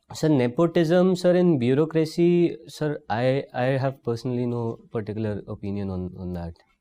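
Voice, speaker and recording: The tone is dark and mellow, at a moderate pace. Pitch swings very widely. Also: man, medium pitch for a man, hardly any pauses. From India, Jaipur, Rajasthan. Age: 20s. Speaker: civil service candidate. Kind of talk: job interview. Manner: formal; halting.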